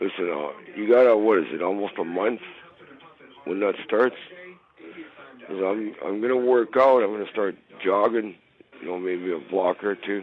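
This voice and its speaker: With noticeable background noise behind him, a man speaks at a fairly low pitch and a moderate pace, using ordinary pitch variation and long, frequent pauses. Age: 60s. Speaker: caller. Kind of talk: voicemail message to radio show. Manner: halting.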